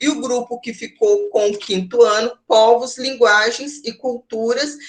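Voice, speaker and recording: A woman's high voice with lively intonation and big swings in loudness. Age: 40s. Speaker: university lecturer in education. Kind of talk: online lecture. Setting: online class. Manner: halting, many fillers.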